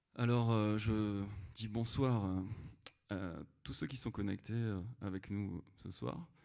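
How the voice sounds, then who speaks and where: A man's fairly low, dark, mellow voice with ordinary pitch variation. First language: Creole (speaking French). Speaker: singer-songwriter. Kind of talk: live concert chat between songs. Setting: livestreamed concert hall performance. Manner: halting, many fillers.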